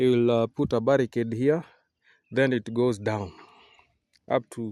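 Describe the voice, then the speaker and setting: Speaking with a Kenyan accent at a fairly slow pace, a man with a medium pitch and a dark, mellow tone sounds dry and close with no echo over a quiet background. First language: Kikuyu. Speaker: vlogger and coffee farmer. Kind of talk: casual vlog tour. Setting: outdoors on a coffee farm. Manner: halting, many fillers.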